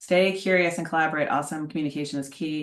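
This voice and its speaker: A woman speaks with a very deep, low pitch and ordinary pitch variation. The background is quiet. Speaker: leadership consultant. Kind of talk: webinar presentation.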